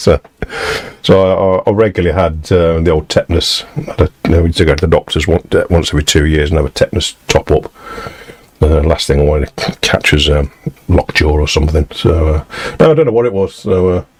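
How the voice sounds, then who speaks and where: A man with an English accent talks very fast in a very deep, low voice with fairly even intonation. The sound is dry and close with no echo, though noticeable background noise is present. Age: 60s. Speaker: musician live-streaming from home studio. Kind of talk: casual chat. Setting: home studio live stream. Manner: halting, with frequent fillers.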